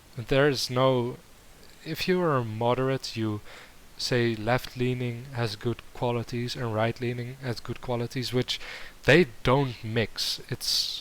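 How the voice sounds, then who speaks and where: Someone with a Dutch accent speaks at a very slow pace with fairly even intonation. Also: man, medium pitch for a man. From Netherlands. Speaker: YouTube reactor. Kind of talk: reaction commentary. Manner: halting.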